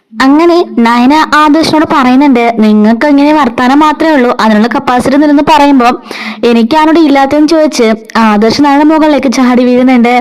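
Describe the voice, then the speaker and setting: Noticeable background noise sits behind a woman whose high voice holds very even loudness and fairly even intonation. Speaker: voiceover storyteller. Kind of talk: serial story recap narration. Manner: casual, chatty.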